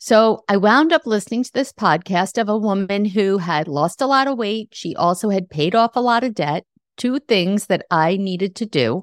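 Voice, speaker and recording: Over a quiet background, a woman talks at a moderate pace with hardly any pauses, in an unremarkable speaking voice of medium pitch. The sound is dry and close, with no echo. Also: lively intonation. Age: 60s. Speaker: podcast host and life coach. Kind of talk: solo podcast monologue.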